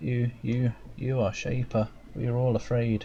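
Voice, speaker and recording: In a shaky, put-on character voice, a man speaks at a medium pitch and moderate pace over clear background noise. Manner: quavering, afraid.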